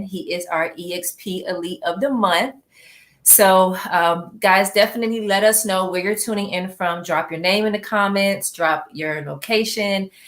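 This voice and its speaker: At a moderate pace, a woman speaks in an ordinary speaking voice at a medium pitch with ordinary pitch variation. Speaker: live interview host. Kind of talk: live stream host talk.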